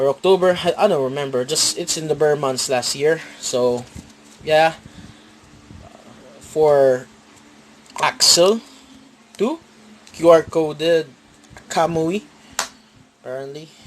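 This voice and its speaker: A man speaks at a very slow pace with ordinary pitch variation. Long pauses come often. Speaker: card game YouTuber. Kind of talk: deck profile tutorial. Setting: at home, filming a playmat on a tripod. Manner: halting, with fillers and repeats.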